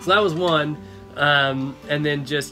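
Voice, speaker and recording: A man speaks with ordinary pitch variation over clear music in the background. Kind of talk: casual vlog chat. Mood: cheerful, laughing. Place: bus. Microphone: phone near.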